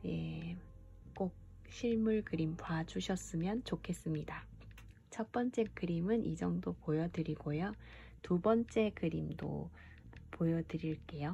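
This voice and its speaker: This woman talks at a very slow pace, leaving long, frequent pauses. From Busan, South Korea. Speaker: illustrator and painter. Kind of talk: casual art talk to viewers. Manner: casual, chatty with filler words.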